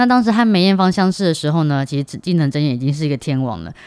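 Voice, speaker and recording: A woman's very deep, low voice with lively intonation. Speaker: podcast co-host. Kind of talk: casual chat.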